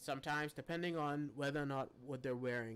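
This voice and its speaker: The man, with a normal speaking voice, lets his pitch move in an ordinary way. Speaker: live streamer teaching photo editing. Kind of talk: tutorial. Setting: live stream.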